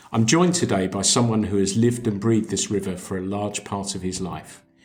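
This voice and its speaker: Over music in the background, a man speaks at a fairly low pitch and moderate pace with ordinary pitch variation. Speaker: podcast host. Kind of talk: podcast interview questions.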